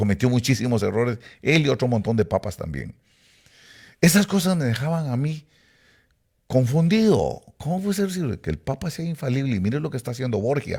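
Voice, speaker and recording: A man talks at a fairly quick pace in a somewhat breathy voice of medium pitch that swings very widely. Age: 70s. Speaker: preacher. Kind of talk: sermon-style talk to online audience. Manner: hesitant with fillers.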